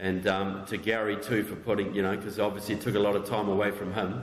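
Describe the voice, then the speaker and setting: Fairly quick speech in a New Zealand accent, with audible room echo and noticeable background noise. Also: man. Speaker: author and political researcher. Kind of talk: public talk.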